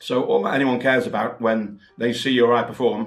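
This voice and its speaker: The man's pace is moderate. His voice sits at a medium pitch. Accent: Welsh. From Wales. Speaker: mentalist and magic author. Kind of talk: promotional talk. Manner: conversational, with filler words.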